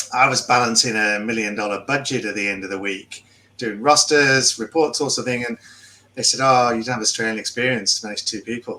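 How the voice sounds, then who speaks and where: A man talks fairly quickly with a slight English accent. His pitch is medium and his intonation fairly even. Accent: English, milder than Philippe's. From England. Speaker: podcast co-host. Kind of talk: casual chat.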